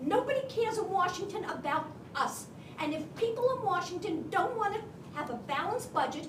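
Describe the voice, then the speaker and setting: A woman's extremely high voice makes very wide pitch swings at a fairly quick pace. Audible room echo surrounds it. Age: 70s. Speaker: audience member at a town hall. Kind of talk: public comment at a town hall. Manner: impassioned.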